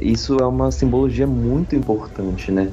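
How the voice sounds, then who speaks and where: Music plays in the background and the room echo is audible as a man speaks in a fairly low voice. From Brazil, Brasília. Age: 20s. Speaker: podcast host, university student. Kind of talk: casual chat.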